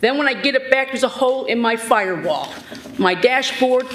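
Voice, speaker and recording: An animated tone in an American accent comes through noticeable background noise. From Sandusky, Ohio. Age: 60s. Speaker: resident speaking at public hearing. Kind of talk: public comment complaint. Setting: city board meeting. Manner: animated, agitated.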